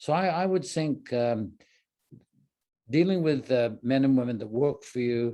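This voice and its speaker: This man's voice is medium-pitched, dark and mellow. He keeps a moderate pace with lively intonation. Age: 70s. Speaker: business executive. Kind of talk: interview. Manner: halting.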